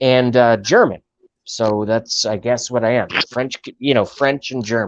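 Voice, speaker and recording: Speaking with an American accent, a man keeps to a fairly slow pace. His pitch is medium and his intonation fairly even. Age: 30s. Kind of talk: casual chat.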